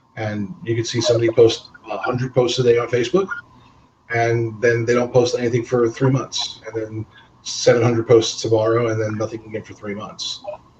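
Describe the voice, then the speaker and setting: A man with a medium pitch speaks at a fairly quick pace, his intonation fairly even. His loudness swings widely, and noticeable background noise is present. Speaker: webinar host, credit repair salesperson. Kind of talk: webinar interview. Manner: fast.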